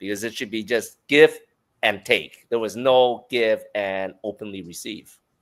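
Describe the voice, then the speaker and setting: Medium in pitch, a man talks at a fairly slow pace on a very clean recording with a silent background. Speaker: life coach and author. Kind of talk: interview conversation. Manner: loud.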